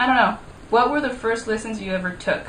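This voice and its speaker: Bright and sharp in tone, a woman speaks at a high pitch and a fairly quick pace with lively intonation, amid audible room echo. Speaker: YouTuber. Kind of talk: casual vlog. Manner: fast; animated.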